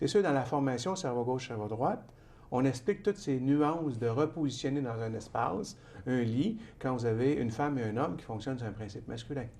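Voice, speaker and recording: A man's medium-pitched voice with a dark, mellow, calm tone, lively intonation and a fairly quick pace, in audible room echo. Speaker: author and trainer. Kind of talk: TV interview. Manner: calm, measured pace.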